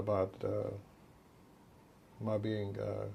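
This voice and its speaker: A man with a Texan accent, at a very slow pace. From Texas, Dallas. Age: 60s. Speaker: physician. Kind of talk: interview.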